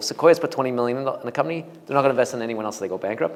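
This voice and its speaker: Here a man speaks at medium pitch with lively intonation. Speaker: venture capital investor. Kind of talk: talk with Q&A to audience. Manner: fast; halting with many restarts.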